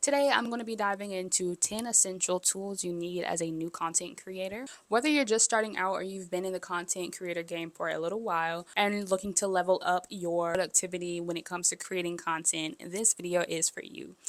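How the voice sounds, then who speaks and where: The speaker is soft-spoken and moves at a fairly quick pace with hardly any pauses and ordinary pitch variation. The recording is very clean, with a silent background. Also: woman, medium pitch for a woman. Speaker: content creator. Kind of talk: tutorial. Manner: casual.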